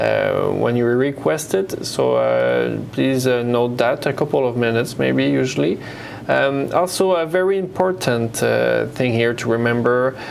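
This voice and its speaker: A man at a fairly slow pace and very even loudness, with audible room echo and noticeable background noise. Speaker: software presenter. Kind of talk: tutorial. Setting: web conference. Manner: hesitant, many fillers.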